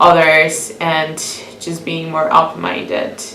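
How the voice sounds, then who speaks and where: Heard with audible room echo and noticeable background noise, a woman speaks with a Venezuelan accent. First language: Spanish. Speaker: international student interviewee. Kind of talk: interview. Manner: hesitant, with fillers and repeats.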